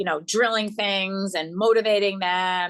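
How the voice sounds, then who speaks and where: A loud, animated woman's voice, bright and sharp in tone, in a dry, close sound with no echo against a quiet background. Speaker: yoga coach. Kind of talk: interview.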